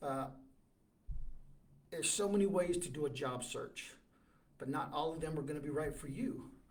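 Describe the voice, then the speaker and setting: A man's somewhat breathy, fairly high-pitched voice at a moderate pace, with ordinary pitch variation, long, frequent pauses and audible room echo. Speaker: job search advisor, livestream host. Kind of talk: livestream advice talk. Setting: live video stream. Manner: stammering.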